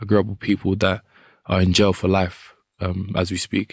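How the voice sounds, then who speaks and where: Very deep and low, a man's voice with a London accent holds a monotone, flat intonation in a very clean recording with a silent background. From Southeast London. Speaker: professional boxer. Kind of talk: casual interview.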